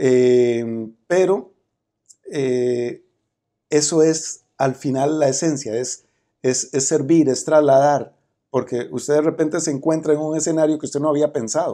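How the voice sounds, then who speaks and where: In a Costa Rican accent, a man speaks at a fairly slow pace with fairly even intonation. His tone is dark and mellow, and the background is quiet. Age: 50s. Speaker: criminologist and politician; politician. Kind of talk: interview. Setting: conference venue. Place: meeting room.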